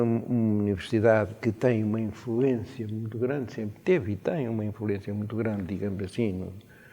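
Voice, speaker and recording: A man speaks at a medium pitch with a dark, mellow tone. His pace is moderate. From Portugal, Coimbra. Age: 80s+. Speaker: retired university rector and law professor. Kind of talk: radio interview. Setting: university senate hall. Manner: hesitant, many fillers.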